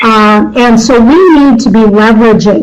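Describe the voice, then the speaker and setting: Noticeable background noise, audible room echo, and ordinary pitch variation. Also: woman. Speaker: nonprofit governance consultant. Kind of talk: presentation to a board. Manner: halting, many fillers.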